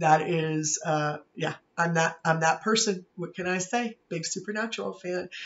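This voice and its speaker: A man talks at a moderate pace with an American accent. His voice is high-pitched for a man. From Pittsburgh, Pennsylvania. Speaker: university professor. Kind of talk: course introduction video. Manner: casual with frequent fillers.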